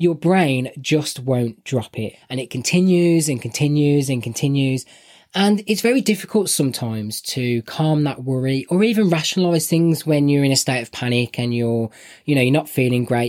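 A man with a Birmingham accent, fairly high in pitch and lively in intonation, on a very clean recording with a silent background. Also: moderate pace. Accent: Birmingham (West Midlands) English. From Birmingham, England. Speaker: podcast co-host. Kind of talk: casual chat podcast.

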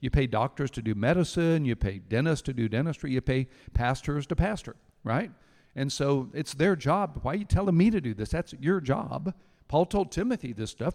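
Heard dry and close with no echo against a quiet background, a man with an unremarkable speaking voice and a fairly high pitch talks at a moderate pace with lively intonation. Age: 60s. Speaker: pastor. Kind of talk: sermon.

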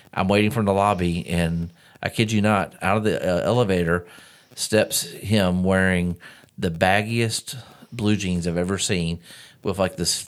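On a very clean recording with a silent background, a man with a Southern US accent and a very deep, low pitch talks at a fairly slow pace with fairly even intonation. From US South. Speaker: podcast host. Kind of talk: casual chat.

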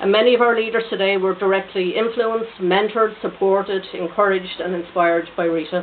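With an Irish accent, a woman speaks at a very fast pace with fairly even intonation over noticeable background noise. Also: medium pitch for a woman. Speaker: political activist. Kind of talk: tribute speech.

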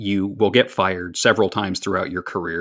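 Here a man speaks with an American accent. His pitch is fairly low and his pace moderate. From US Pennsylvania. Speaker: Twitter user and fan of a radio show. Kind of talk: casual interview chat. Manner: talkative, hesitant with repeated words.

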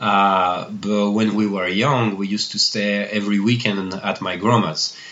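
With a French accent, a man delivers his words at a moderate pace in a fairly low pitch and a monotone, flat intonation. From Annecy, France. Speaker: bakery owner and chocolatier. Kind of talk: interview conversation.

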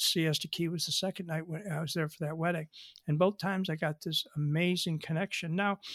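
On a very clean recording with a silent background and a dry, close sound with no echo, a man with a high pitch and a Western New York accent talks at a fairly quick pace with fairly even intonation. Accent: Western New York American. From Buffalo, New York, US. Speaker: afterlife author, bereaved father. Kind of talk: interview. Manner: emotional, conversational.

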